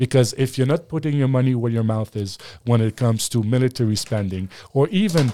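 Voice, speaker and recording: With a French accent, a man talks at a medium pitch in a dark, mellow tone with ordinary pitch variation, captured as a dry, close sound with no echo. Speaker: former political advisor and media analyst. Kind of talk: casual interview. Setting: studio.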